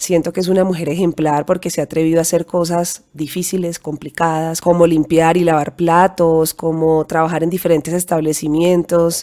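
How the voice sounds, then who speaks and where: A woman speaks with a dark, mellow tone and a fairly low pitch at a moderate pace. Her intonation stays flat and monotone, with hardly any pauses. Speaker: podcast host. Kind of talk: motivational monologue.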